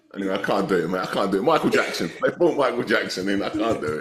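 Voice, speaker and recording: A man rattles along at a very fast pace with an English accent. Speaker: football podcast co-host. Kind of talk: casual chat. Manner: animated.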